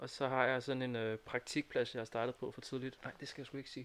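A man speaks at medium pitch and a fairly quick pace. He has an unremarkable speaking voice. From Næstved area, Denmark. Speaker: student. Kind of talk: casual chat. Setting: studio.

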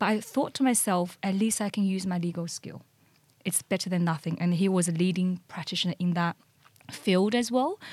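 A woman speaks with a Chinese accent, her voice somewhat breathy. Her pitch varies in an ordinary way. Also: medium pitch for a woman, fairly quick pace. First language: Mandarin Chinese. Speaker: corporate lawyer. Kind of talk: interview.

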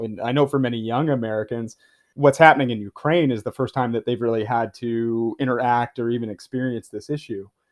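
Fairly quick speech from a man in a normal speaking voice, pitched at medium. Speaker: podcast host. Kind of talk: interview.

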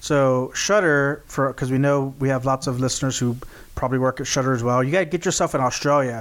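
A man's animated tone at medium pitch, a very fast pace, and very even loudness. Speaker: podcast host. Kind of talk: casual chat. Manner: animated, jokey.

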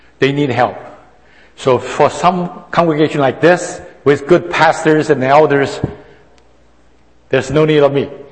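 A man's fairly high voice with fairly even intonation, a fairly slow pace and long, frequent pauses, over noticeable background noise. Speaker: senior pastor. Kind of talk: sermon. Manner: halting, with many hesitations.

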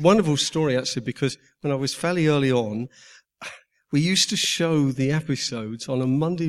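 A man at a medium pitch and moderate pace, with ordinary pitch variation, on a very clean recording with a silent background. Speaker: TV producer and director. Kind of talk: live Q&A on stage. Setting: stage with audience. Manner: halting.

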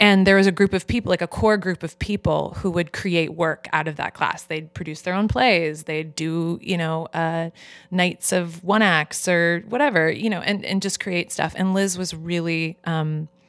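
In a plain, everyday voice, a woman talks at a moderate pace with fairly low pitch and fairly even intonation. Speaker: actor and filmmaker. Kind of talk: casual chat.

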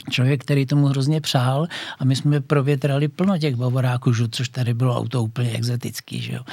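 Speaking at a moderate pace, a man has a medium pitch, a somewhat breathy, dark, mellow tone and monotone, flat intonation. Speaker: former TV motoring journalist and racing driver. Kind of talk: casual interview. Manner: halting.

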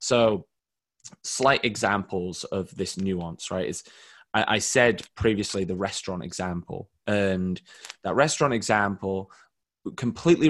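A man with a normal speaking voice talks at a fairly slow pace against a quiet background. His pitch is fairly low, with ordinary variation. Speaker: marketing director, SEO expert. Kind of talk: webinar presentation, Q&A answers. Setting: video call webinar.

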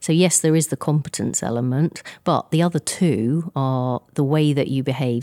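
On a very clean recording with a silent background and a dry, close sound free of echo, a woman with an English accent speaks at a moderate pace in a dark, mellow tone. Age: 50s. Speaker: insurance industry chief executive. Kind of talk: interview. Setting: live event. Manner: halting, many fillers.

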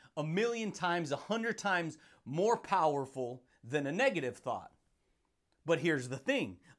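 Over a silent background in a very clean recording, a man talks at a moderate pace in an energetic, animated tone with very wide pitch swings. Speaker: self-help podcast host. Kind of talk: motivational monologue. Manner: energetic with frequent laughter.

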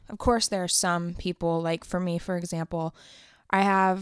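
On a very clean recording with a silent background, a woman with a plain, everyday voice speaks at a moderate pace, fairly low in pitch and with fairly even intonation. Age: 20s. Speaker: podcaster and videographer. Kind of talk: casual monologue.

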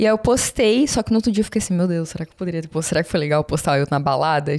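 Speaking at a very fast pace, a woman keeps her voice at a fairly low pitch. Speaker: study-abroad consultant and influencer. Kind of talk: casual chat. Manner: calm and normal off camera.

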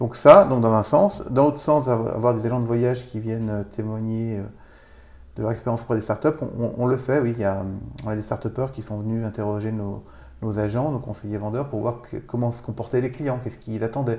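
A man's ordinary speaking voice at medium pitch, fairly quick, with fairly even intonation. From Vosges, eastern France. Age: 40s. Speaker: business owner. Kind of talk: interview. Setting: host's home.

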